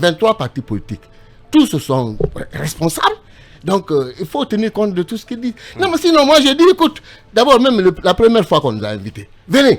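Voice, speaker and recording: With an animated tone, a man speaks high in pitch at a fairly quick pace, his pitch swinging very widely between long, frequent pauses. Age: 70s. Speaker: politician. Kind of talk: radio interview.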